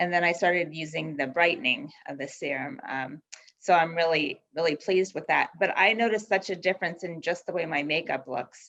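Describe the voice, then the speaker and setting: In a normal speaking voice, a woman of fairly low pitch talks at a fairly quick pace with hardly any pauses and ordinary pitch variation. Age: 60s. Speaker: beauty product distributor. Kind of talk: casual testimony.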